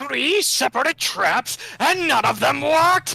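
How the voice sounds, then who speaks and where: Putting on a strained character voice, a man speaks at an extremely high pitch and a fairly slow pace. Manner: strained, scheming.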